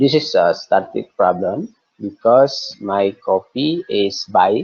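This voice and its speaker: Very slow speech from a medium-pitched man with an Indonesian accent. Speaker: coffee cooperative representative. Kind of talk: webinar presentation. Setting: video call. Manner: slow, halting.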